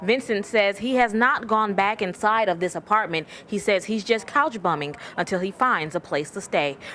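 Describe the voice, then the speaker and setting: An ordinary speaking voice with an American accent, lively intonation, a moderate pace and hardly any pauses. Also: woman, medium pitch for a woman. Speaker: TV news reporter and anchor. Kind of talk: TV news reporting, anchor read.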